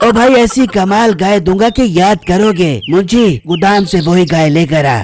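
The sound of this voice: A high-pitched, cartoonish character voice from a man at a moderate pace, over clear background noise.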